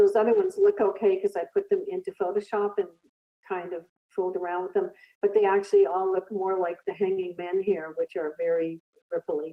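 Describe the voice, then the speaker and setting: This woman talks at a moderate pace with fairly even intonation. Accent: Canadian. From Canada, British Columbia (Kelowna). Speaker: artist and filmmaker. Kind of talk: artist talk with slides. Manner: halting, many fillers.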